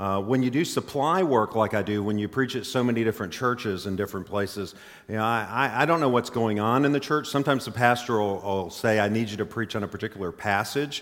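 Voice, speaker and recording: A man with an American accent talks at a very fast pace with hardly any pauses. His medium-pitched voice shows ordinary pitch variation. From Mississippi. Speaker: visiting preacher and university representative. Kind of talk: sermon. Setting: church.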